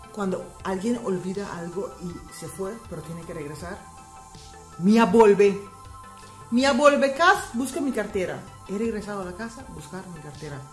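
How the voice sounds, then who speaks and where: A woman speaks at a medium pitch and a fairly slow pace, with lively intonation. Her loudness swings widely, and music plays in the background. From Aruba. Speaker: language teacher vlogger. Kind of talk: casual language lesson to camera.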